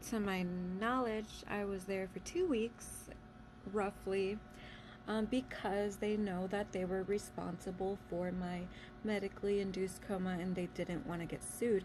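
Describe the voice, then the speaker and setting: A woman speaks at medium pitch in a somewhat breathy voice. Her pace is fairly slow and her intonation fairly even. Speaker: vlogger sharing life story. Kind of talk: casual storytelling monologue. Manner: halting with many fillers.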